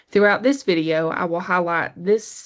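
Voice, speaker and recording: In a Southern US accent, the speaker shows ordinary pitch variation against a quiet background. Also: woman. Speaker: college literature teacher. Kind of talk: educational lecture. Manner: slightly halting with self-corrections.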